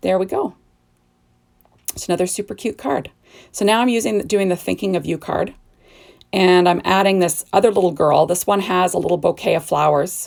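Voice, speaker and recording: This voice has vocal fry, ordinary pitch variation and a fairly quick pace. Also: woman. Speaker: card-making crafter. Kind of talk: crafting tutorial. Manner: casual, chatty.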